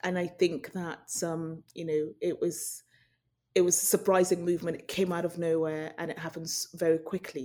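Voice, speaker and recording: A woman with a British accent speaks in a fairly low, dark, mellow voice, flat and monotone in intonation, with big swings in loudness. The recording is very clean, with a silent background. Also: moderate pace. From Nigeria, then raised in UK. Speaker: journalist, news correspondent. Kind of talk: interview.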